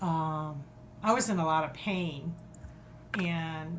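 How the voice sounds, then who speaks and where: A woman talks in a fairly low pitch with ordinary pitch variation. Noticeable background noise and audible room echo are present. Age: 60s. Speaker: podcast guest. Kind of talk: interview.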